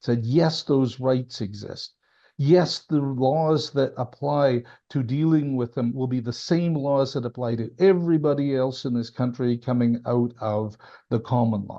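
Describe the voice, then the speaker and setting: Against a quiet background, a man talks at a fairly slow pace and a medium pitch. His tone is dark and mellow, with ordinary pitch variation. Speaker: former senior government official. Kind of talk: interview conversation. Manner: emphatic.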